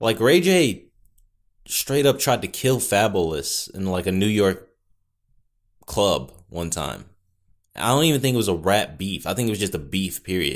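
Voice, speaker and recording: A booming man's voice in an American accent, with lively intonation and long, frequent pauses, on a very clean recording with a silent background. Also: fairly low pitch for a man, moderate pace. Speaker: podcaster. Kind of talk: casual solo chat. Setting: home recording with mic. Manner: casual, rambling, filler words.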